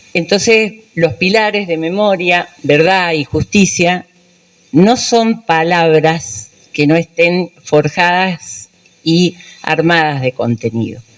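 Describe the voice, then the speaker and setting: Her intonation is lively. The woman speaks very slowly with a fairly low pitch. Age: 70s. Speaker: human rights activist, dictatorship survivor. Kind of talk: speech at a public event.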